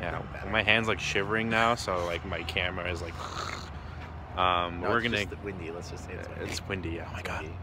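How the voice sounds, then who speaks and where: Fairly quick speech with noticeable background noise and a dry sound with no echo. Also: man. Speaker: vlogger on a road trip. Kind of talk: casual vlog chat. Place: station. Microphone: phone near.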